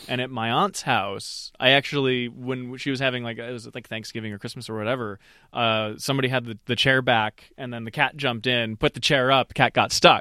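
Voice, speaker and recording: Here a man speaks at a medium pitch in a bright, sharp tone, with fairly even intonation, hardly any pauses and big swings in loudness, all in a dry, close sound with no echo. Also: fairly quick pace, very clean recording, silent background. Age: 30s. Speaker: software engineer. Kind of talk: casual chat.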